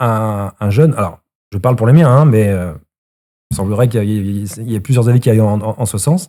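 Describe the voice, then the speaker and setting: A man's dark, mellow tone with lively intonation, in a very clean recording against a silent background. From Brittany, France. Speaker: citizen, local Facebook page creator. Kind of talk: casual discussion. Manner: halting, many repetitions.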